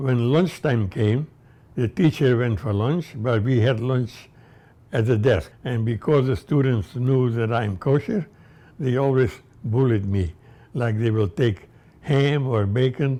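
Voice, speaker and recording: In a dark, mellow tone, a man talks at a fairly slow pace. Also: medium pitch for a man, ordinary pitch variation. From Transylvania, Romania. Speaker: Holocaust survivor. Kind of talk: testimony. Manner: halting.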